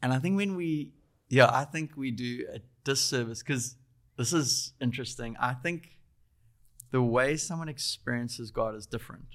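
A South African accent at a moderate pace with ordinary pitch variation. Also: man, medium pitch for a man. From South Africa, Durban. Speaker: faith-based coding school spiritual director. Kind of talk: casual interview.

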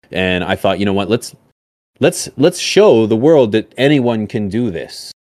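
A man with an ordinary speaking voice, medium pitch and lively intonation, at a fairly slow pace, in dry, close sound with no echo. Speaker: podcast host. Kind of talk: casual chat.

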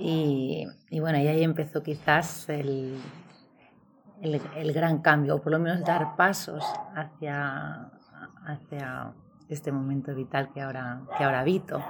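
A woman speaks at a very deep, low pitch with fairly even intonation. Her pace is fairly slow, with long, frequent pauses. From Valladolid, northern Spain. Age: 40s. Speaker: former lawyer turned guesthouse owner. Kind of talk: interview.

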